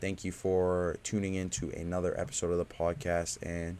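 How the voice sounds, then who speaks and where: A man's very deep, low voice with a dark, mellow tone, ordinary pitch variation and a moderate pace. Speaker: podcast host. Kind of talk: casual chat. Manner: low energy.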